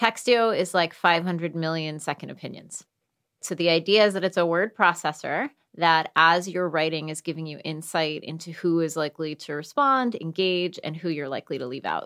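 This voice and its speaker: A woman with a fairly low pitch and ordinary pitch variation speaks at a moderate pace in a plain, everyday voice, her loudness swinging widely, on a very clean recording with a silent background. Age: 40s. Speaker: tech company co-founder. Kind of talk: interview. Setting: podcast recording.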